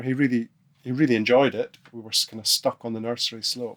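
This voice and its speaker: A soft-spoken man at medium pitch, fairly quick in pace, with monotone, flat intonation. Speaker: snowboarding pioneer, podcast guest. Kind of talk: podcast interview answer. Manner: soft-spoken, thoughtful.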